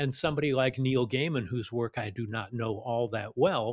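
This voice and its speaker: Recorded dry and close with no echo, a man talks at a fairly quick pace in a medium pitch, sounding somewhat breathy. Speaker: film director and podcaster. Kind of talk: casual interview chat.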